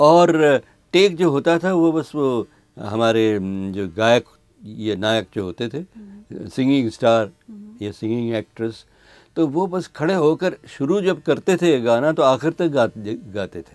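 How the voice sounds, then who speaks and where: The voice moves through very wide pitch swings on a very clean recording with a silent background. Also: man. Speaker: radio announcer. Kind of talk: interview answer.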